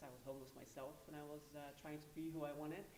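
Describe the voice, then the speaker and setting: Very deep, low female voice, with audible room echo and noticeable background noise around it. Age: 20s. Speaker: pageant contestant. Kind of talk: pageant interview.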